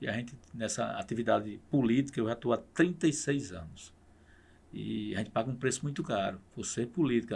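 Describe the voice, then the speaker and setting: A man talks at a fairly quick pace with lively intonation and vocal fry, on a very clean recording with a silent background. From Paraíba, Brazil (Pocinhos). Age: 60s. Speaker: state politician. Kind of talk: podcast interview.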